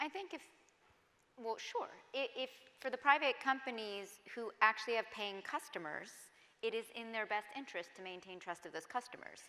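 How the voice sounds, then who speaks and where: Against noticeable background noise, a woman with an American accent talks at a moderate pace in a fairly high voice with lively intonation and long, frequent pauses. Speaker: tech ethics panelist. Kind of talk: panel discussion. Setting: stage with audience.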